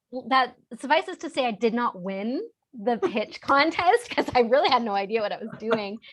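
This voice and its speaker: A woman with a high voice speaks at a moderate pace in an animated tone, her intonation lively. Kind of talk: interview. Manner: animated, lots of fillers.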